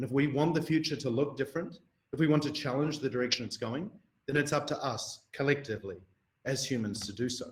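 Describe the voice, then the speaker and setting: A somewhat breathy man with a New Zealand accent at a very fast pace. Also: fairly high pitch for a man, ordinary pitch variation. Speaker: researcher. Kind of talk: lecture.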